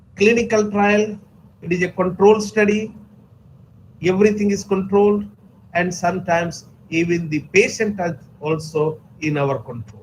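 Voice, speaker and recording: With audible room echo, a man speaks at a high pitch, leaving long, frequent pauses. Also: ordinary pitch variation, moderate pace. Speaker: pharmacology resource person. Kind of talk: lecture. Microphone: too quiet.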